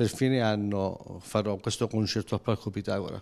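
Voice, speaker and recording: A man's dark, mellow voice, fairly slow and fairly even, over a quiet background. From Calabria, Crotone; Calabria. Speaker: dialect singer-songwriter. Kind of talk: interview. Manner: halting. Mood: calm, content. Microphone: handheld.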